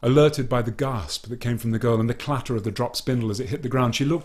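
The clip features plain reading aloud. It is read in that manner throughout.

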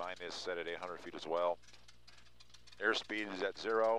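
The sound is dry with no echo. Light background noise is audible. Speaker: flight instructor. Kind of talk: instruction. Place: plane. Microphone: headset.

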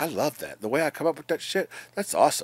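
Here a man talks at a moderate pace. The sound is dry with no echo. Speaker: vlogger. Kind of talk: casual vlog chat. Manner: drowsy, slurred bedtime mumbling. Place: home room. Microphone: phone near.

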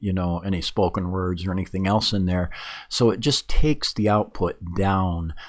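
Against a quiet background, a man with an unremarkable speaking voice talks at a fairly low pitch and a moderate pace. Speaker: reviewer of microphones. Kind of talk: tutorial.

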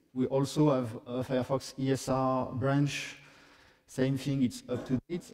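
A man with a French accent speaks at a very slow pace in a monotone, flat intonation. The background is quiet. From France. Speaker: software developer; conference presenter. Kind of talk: conference talk; technical conference talk. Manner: halting. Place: hall.

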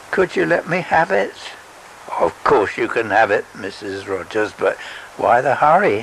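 Noticeable background noise runs beneath this recording. A man speaks at a fairly slow pace. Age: 80s. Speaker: storyteller reading his own story. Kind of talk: literary audiobook reading, narrated story with voiced characters. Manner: slow, gentle, sentimental storyteller.

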